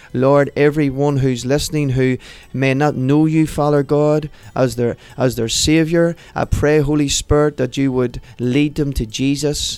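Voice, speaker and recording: In a Northern Irish accent, a man with a fairly high pitch speaks at a fairly slow pace, with monotone, flat intonation and very even loudness. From Northern Ireland, Portadown. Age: 30s. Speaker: pastor. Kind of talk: testimony; prayer.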